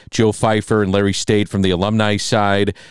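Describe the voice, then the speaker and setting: In a very clean recording with a silent background, a man talks at a fairly quick pace in a plain, everyday voice, fairly low in pitch, with a dry, close sound and no echo. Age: 40s. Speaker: sports radio host. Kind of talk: casual chat.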